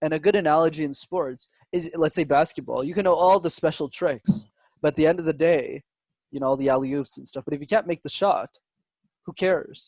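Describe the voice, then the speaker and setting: A man talks at a fairly quick pace with a fairly high pitch. His pitch varies in an ordinary way. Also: dry, close sound with no echo. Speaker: public speaking coach. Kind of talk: interview. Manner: dramatic pauses.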